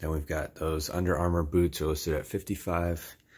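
A man's somewhat breathy, monotone voice with flat intonation at a fairly slow pace. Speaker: reseller. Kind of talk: casual vlog chat. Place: home room. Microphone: phone near.

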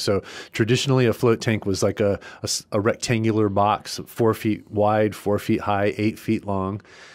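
This man talks at a moderate pace with a fairly low pitch. The background is quiet. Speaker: podcast guest. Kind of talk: interview answer. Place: studio. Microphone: studio mic.

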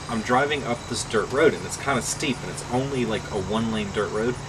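Noticeable background noise runs under a man's voice. He talks at a moderate pace with ordinary pitch variation. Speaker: interviewee. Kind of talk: interview answer. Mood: amused storytelling. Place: bus. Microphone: camera far.

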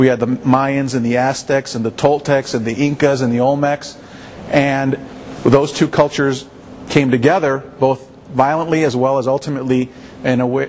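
A man's fairly quick, monotone delivery with flat intonation, over light background noise. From Mexican American community, US. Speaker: lawyer and civil rights advocate; lawyer. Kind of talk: interview. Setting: art museum. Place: hall.

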